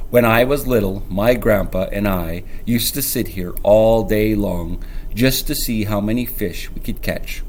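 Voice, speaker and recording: A man uses a put-on character voice, growling and gruff, at medium pitch. He keeps a moderate pace over clear background noise. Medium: read story. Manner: gruff, growling.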